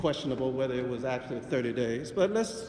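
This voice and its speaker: Loud and with lively intonation, a man speaks with an American accent amid noticeable background noise and audible room echo. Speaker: city councilman. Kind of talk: council floor speech. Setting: city council chamber. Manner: loud, forceful.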